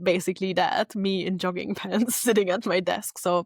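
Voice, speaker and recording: With a German accent, a woman speaks at a medium pitch with ordinary pitch variation in a dry, close sound with no echo. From South Tyrol, northern Italy. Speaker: social media strategist and retreat business owner. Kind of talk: casual interview chat.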